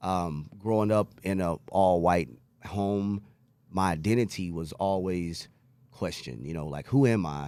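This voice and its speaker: At a fairly slow pace, a man talks in a very deep, low pitch with a dark, mellow tone and ordinary pitch variation. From New York City (Queens), moved to Texas at age 12. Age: 40s. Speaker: recovering addict sharing story. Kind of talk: testimony.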